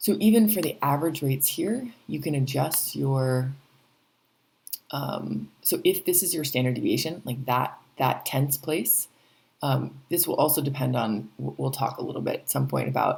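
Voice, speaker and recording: This woman is soft-spoken. She talks at a moderate pace. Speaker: teacher. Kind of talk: tutorial. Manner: hesitant, many fillers. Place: home room. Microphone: webcam.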